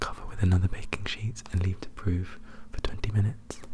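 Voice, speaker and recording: The speaker whispers at a fairly quick pace. Background noise is noticeable. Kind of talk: ASMR book reading and show-and-tell. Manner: soft-spoken, close whispering; repetitive, over-explaining, chaotic.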